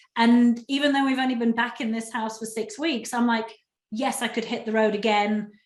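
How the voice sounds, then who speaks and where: A woman speaks with an English accent, her pitch fairly high. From England. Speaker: relocation specialist, interviewer. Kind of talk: interview conversation.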